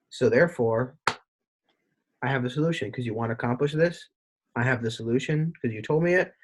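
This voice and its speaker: This man's somewhat breathy voice moves at a very fast pace with ordinary pitch variation. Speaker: podcast host, former salesperson. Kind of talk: casual interview chat.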